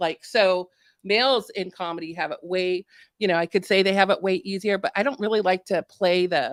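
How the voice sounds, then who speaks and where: A woman speaks at a medium pitch with ordinary pitch variation and an American accent, in a dry, close, very clean recording with a silent background and no echo. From Washington state. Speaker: stand-up comedian. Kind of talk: podcast interview answer. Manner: quick-witted, sarcastic.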